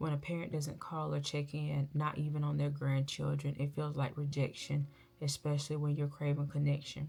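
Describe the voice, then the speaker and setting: A woman speaks in a very deep, low voice with monotone, flat intonation. Music plays in the background. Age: 30s. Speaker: vlogger. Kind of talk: personal confessional vlog. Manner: loud.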